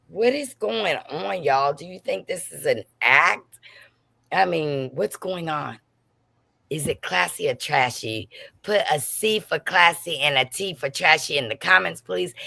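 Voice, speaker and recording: Her pitch very deep and low, a woman talks at a fairly slow pace in an animated, bright, sharp tone, with vocal fry, very wide pitch swings, and big swings in loudness. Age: 60s. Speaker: gossip livestream host. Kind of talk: casual livestream chat.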